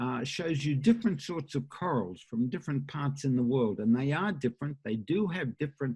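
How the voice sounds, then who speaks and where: An Australian accent marks this man's medium-pitched voice. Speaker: professor. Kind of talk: lecture. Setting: conference talk with slides. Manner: halting, many filler uhs.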